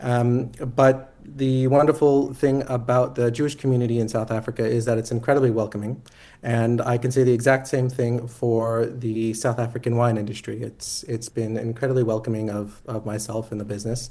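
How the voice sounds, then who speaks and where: An American-accented man talks at a fairly quick pace with medium pitch. His tone is dark and mellow, his intonation monotone and flat. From US Northeast, Boston, Massachusetts. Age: young. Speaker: winemaker and distiller. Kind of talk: radio interview. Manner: hesitant, many fillers and repetitions.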